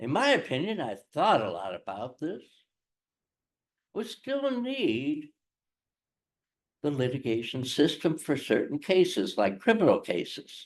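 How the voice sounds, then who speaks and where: A man with a fairly high voice speaks at a fairly slow pace, his pitch swinging very widely, with vocal fry, long and frequent pauses, and a quiet background. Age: 80s+. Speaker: retired lawyer and dispute prevention facilitator. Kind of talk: presentation to lawyers.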